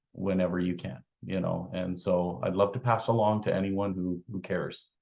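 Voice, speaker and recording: This man's voice is pitched fairly low. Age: 50s. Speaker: weight loss success story. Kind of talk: interview. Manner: halting, many fillers.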